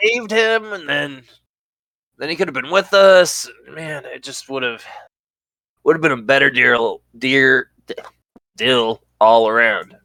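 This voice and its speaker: Putting on a character voice, a man sounds raspy at a fairly high pitch, with big swings in loudness. He goes at a fairly slow pace with long, frequent pauses. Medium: actual play. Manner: rambling, stumbling over words.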